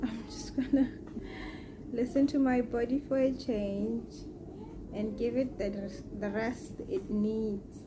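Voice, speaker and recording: Soft-spoken and fairly high-pitched, a woman speaks at a very slow pace with long, frequent pauses and ordinary pitch variation. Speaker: vlogger. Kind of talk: casual vlog talk to camera. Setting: at home in bed.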